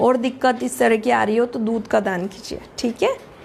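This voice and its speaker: This is a woman's voice. Her pitch is fairly high. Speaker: astrologer and tarot reader. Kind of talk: live stream talk. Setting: live stream. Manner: halting.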